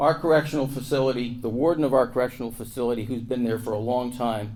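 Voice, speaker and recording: In an American accent, a man with a dark, mellow tone speaks at a fairly quick pace amid audible room echo. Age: 70s. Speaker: lawyer and former county commissioner. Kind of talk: conference panel talk. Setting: stage with audience.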